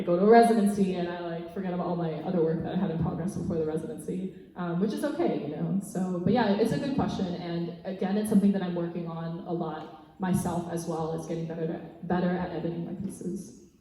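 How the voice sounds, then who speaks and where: A fairly low-pitched woman talking at a very fast pace with hardly any pauses, amid noticeable background noise. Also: fairly even intonation. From Canada, Mississauga. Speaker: spoken word poet. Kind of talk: Q&A after a performance. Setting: church with live audience. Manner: soft-spoken.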